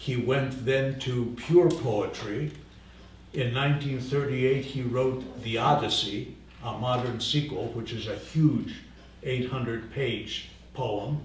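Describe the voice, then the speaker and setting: The speech comes at a very slow pace with ordinary pitch variation, set against noticeable background noise and audible room echo. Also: man, medium pitch for a man. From Greece, Samos. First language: Greek. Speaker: literature lecturer and translator. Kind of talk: lecture. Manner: halting, with many fillers.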